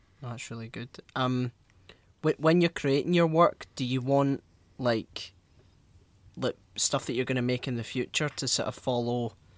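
The speech is fairly slow, with fairly even intonation and long, frequent pauses. The sound is dry and close with no echo, in a very clean recording over a silent background. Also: man. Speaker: podcast host. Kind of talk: casual interview.

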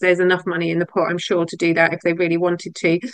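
An ordinary speaking voice: a woman at a medium pitch, talking at a fairly quick pace. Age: 50s. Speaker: podcast host and survivor advocate. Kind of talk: casual chat.

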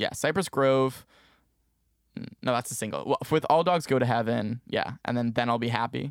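A man with an American accent and an unremarkable speaking voice, medium in pitch with ordinary variation, at a moderate pace, in a dry, close sound with no echo on a very clean recording with a silent background. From New Jersey. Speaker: music business student and podcast producer. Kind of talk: casual interview.

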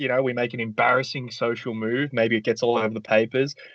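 In a plain, everyday voice, a man talks at a fairly quick pace with medium pitch and fairly even intonation. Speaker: podcast co-host. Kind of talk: casual game-show banter.

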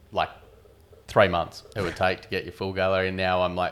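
Very clean recording, silent background, and an Australian accent. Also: man. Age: 40s. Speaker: wedding photographer. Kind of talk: casual chat.

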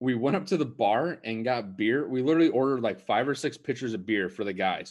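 A man with a normal speaking voice talks at a fairly quick pace and medium pitch, his intonation lively. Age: 20s. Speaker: podcast co-host. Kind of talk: casual chat.

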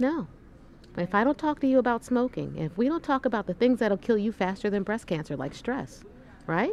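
With long, frequent pauses, a woman of medium pitch talks at a fairly quick pace, her pitch swinging very widely. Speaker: breast cancer surgeon. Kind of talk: casual interview. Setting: conference exhibit booth. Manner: animated.

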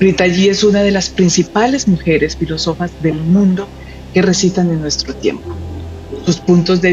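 Noticeable background noise is present throughout. The talking goes at a fairly quick pace. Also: woman. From Colombia. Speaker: interviewer. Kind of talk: interview introduction.

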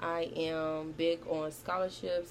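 A woman speaks with a very deep, low pitch. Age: 19. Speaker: podcast host and college student. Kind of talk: casual monologue. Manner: casual, with frequent fillers.

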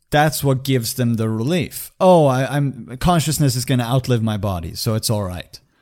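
A normal speaking voice from a man of medium pitch, lively intonation, moderate pace and hardly any pauses, on a very clean recording with a silent background. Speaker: podcast host. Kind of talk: casual chat.

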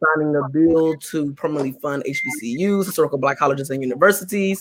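His intonation is lively and his pitch fairly high. The man's tone comes across bright and sharp. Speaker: podcast and radio host moderating a panel. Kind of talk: moderated panel discussion. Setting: live online broadcast. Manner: filler-heavy, hesitant, repeats words.

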